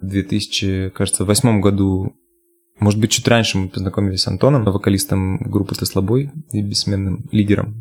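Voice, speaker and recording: A man with a normal speaking voice and fairly low pitch talks at a moderate pace with fairly even intonation. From Russia, Yamalo-Nenets region (Nadym). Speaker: bass player and singer. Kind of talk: casual interview.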